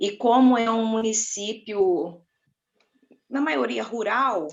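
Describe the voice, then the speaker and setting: With an inland Rio de Janeiro accent, a woman speaks at a fairly high pitch with ordinary pitch variation. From inland Rio de Janeiro state, Brazil. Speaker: school psychologist. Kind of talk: panel discussion.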